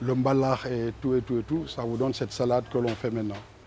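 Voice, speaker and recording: A man's medium-pitched voice stays flat and monotone against clearly audible background noise. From Senegal, Ziguinchor. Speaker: musician. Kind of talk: interview.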